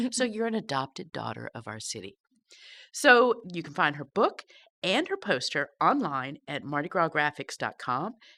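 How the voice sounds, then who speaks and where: Her voice fairly low in pitch, a woman speaks with a bright, sharp tone, vocal fry, very wide pitch swings, and big swings in loudness. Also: moderate pace, very clean recording, silent background. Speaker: podcast host. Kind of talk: casual interview.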